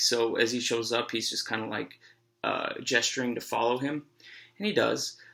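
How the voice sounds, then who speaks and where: A soft-spoken man at a moderate pace. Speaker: high school teacher. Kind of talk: lecture. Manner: halting.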